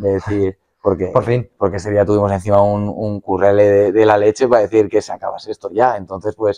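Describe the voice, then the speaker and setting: Against a quiet background, a man with a fairly low, dark, mellow voice talks at a fairly quick pace in a monotone, flat delivery with hardly any pauses. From Spain, Madrid (Fuenlabrada). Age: 20s. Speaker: professional footballer. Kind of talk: casual interview. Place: studio.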